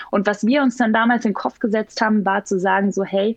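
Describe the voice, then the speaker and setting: A plain, everyday voice from a woman, medium in pitch, fairly quick, with ordinary pitch variation and a dry, close sound with no echo. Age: 30s. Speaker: startup founder. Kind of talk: podcast interview.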